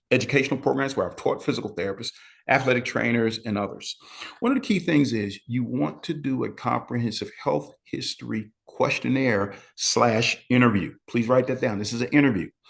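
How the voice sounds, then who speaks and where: This man has vocal fry. He talks at a fairly quick pace. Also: medium pitch for a man, ordinary pitch variation. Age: 60s. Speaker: medical exercise educator, physical therapist. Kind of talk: webinar lecture. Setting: live online session. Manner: conversational, with frequent fillers.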